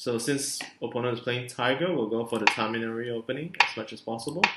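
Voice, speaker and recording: A mumbling man at medium pitch, with noticeable background noise. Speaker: board game streamer. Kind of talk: live gameplay commentary. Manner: hesitant with many fillers.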